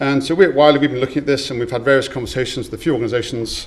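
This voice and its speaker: Audible room echo surrounds a man with a medium pitch and ordinary pitch variation. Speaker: conference speaker. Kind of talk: conference talk. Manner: fast.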